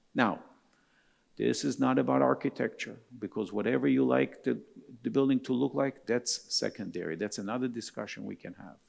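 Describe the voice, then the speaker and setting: Vocal fry comes through at a fairly quick pace, with very wide pitch swings and big swings in loudness. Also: man, fairly low pitch for a man. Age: 60s. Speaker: architect. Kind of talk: keynote talk. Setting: stage with audience.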